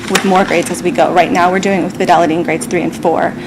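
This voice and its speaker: Noticeable background noise beneath a woman's voice at a medium pitch. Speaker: school district staff presenter. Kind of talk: presentation at school committee meeting. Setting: public school committee meeting, broadcast. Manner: fast; hesitant, many fillers.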